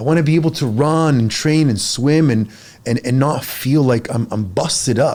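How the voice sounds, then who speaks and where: A man with a fairly high pitch, ordinary pitch variation, an animated tone, very even loudness and a moderate pace. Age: 40s. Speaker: fitness coach. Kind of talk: casual podcast conversation.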